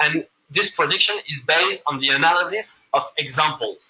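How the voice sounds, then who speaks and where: A man speaks at a moderate pace with a slight French accent. His tone is bright and sharp. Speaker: machine learning consultant, presenter. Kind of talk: lecture. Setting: room with live audience. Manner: halting, many fillers.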